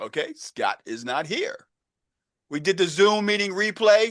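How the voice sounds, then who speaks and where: Against a quiet background, a man with a Baltimore accent speaks in an animated tone with lively intonation. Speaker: real estate and AI coach. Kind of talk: online group coaching meeting. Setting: video call. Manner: casual, animated.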